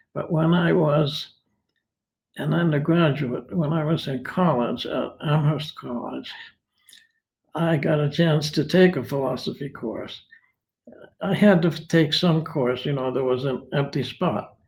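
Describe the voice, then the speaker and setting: This man has a fairly high pitch, an American accent and a somewhat breathy voice, moving at a fairly slow pace with ordinary pitch variation. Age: 80s+. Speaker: retired philosophy professor. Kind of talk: interview. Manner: hesitant, many fillers.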